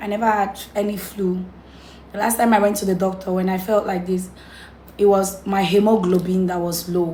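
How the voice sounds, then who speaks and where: A woman talks at a moderate pace in a medium-pitched voice. Her intonation is monotone and flat, with noticeable background noise. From Cameroon. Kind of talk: casual talk to camera.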